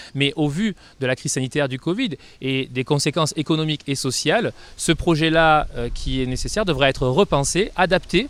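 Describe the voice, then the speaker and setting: A man's fairly high voice with ordinary pitch variation, at a moderate pace. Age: 30s. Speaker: doctor and mayoral candidate. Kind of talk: campaign interview. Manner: hesitant, many fillers.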